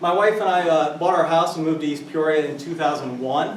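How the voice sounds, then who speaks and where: A man speaks in a Midwestern American accent with fairly even intonation. Audible room echo and noticeable background noise are present. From US Midwest, central Illinois. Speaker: school board candidate. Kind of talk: campaign speech. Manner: loud.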